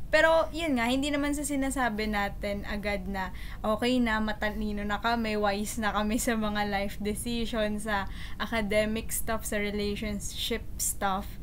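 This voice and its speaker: Audible room echo surrounds a woman speaking at a fairly high pitch. She keeps a moderate pace with ordinary pitch variation. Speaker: podcast co-host. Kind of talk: casual chat.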